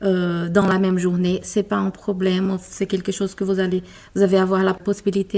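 A woman with a Brazilian accent speaks at a moderate pace in a medium pitch, her tone dark and mellow and her intonation monotone and flat. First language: Portuguese (speaking French). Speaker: corporate lawyer. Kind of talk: interview. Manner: halting.

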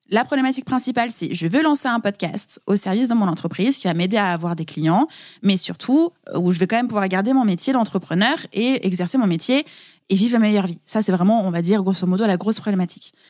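On a very clean recording with a silent background, a woman speaks very fast at a medium pitch with lively intonation. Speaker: podcast and business mentor. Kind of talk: casual interview chat. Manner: carefully articulated.

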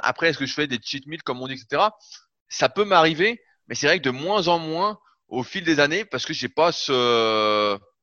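The speaker uses an ordinary speaking voice at a moderate pace. The intonation is lively. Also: man. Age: 30s. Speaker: bodybuilding coach. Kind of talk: interview.

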